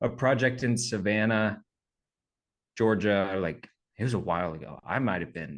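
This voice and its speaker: In an American accent, a man speaks with a fairly low pitch. His pace is fairly slow. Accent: slight Southern twang, comes out sometimes. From Oklahoma, US South. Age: 30s. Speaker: actor. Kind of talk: interview.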